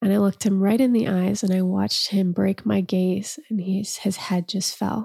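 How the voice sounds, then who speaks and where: A woman's dark, mellow, somewhat breathy voice at a medium pitch, with fairly even intonation, a moderate pace, hardly any pauses and very even loudness. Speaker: podcast host and storyteller. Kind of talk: casual interview conversation.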